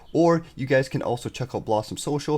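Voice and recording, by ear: A man speaks in a slightly mellow tone with ordinary pitch variation.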